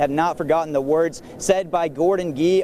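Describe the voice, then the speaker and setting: Against noticeable background noise, a man talks at a very fast pace with a high pitch. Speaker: sports reporter. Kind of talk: sports stand-up and live shot report.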